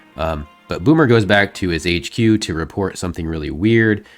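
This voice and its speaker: Over music in the background, a man with a very deep, low voice speaks at a moderate pace with lively intonation. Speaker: comic book storyteller host. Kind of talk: casual comic recap narration. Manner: casual, conversational.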